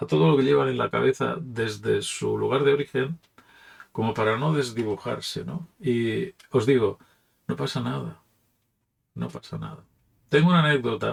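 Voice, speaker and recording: Long, frequent pauses mark this man's speech. He talks with a Catalan accent. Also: moderate pace. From Catalonia, Barcelona. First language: Catalan (speaking Spanish). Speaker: pastor. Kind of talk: reflective talk. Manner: casual, with hesitations.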